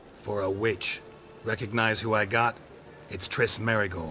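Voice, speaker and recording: A man's raspy, put-on character voice at medium pitch and moderate pace, over clear background noise. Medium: video game. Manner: gruff, rude.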